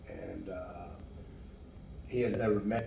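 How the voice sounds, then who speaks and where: A man speaks at a very slow pace. There is noticeable background noise and audible room echo. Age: 60s. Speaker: homeless man and charity cyclist. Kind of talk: interview. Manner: hesitant, many fillers.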